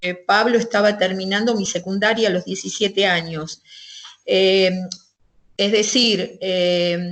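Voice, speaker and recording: A woman at medium pitch, fairly slow, with fairly even intonation and long, frequent pauses. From Argentina, western Greater Buenos Aires. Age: 60s. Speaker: interviewee recounting life in the 1970s. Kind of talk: interview. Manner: hesitant, many fillers.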